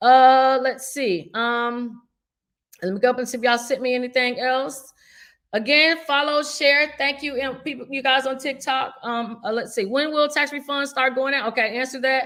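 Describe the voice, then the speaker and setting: A woman's high-pitched voice with fairly even intonation. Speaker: finance show host answering viewer questions. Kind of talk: live Q&A stream. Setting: livestream. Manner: fast.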